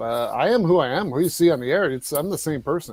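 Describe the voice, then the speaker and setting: A man talks at a moderate pace, his fairly high pitch carried by lively intonation. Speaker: sports broadcaster. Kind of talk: casual chat. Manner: animated.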